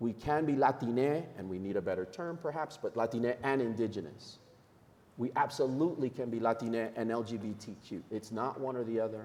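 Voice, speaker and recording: Speaking at a fairly quick pace, a man has a normal speaking voice, medium pitch and ordinary pitch variation. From New York. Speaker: nonprofit leader, panelist. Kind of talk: panel discussion.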